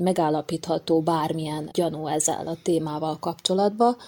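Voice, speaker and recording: The woman's fairly low voice has a dark, mellow tone, moving at a moderate pace with fairly even intonation. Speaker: patient sharing her story. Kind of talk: personal testimony.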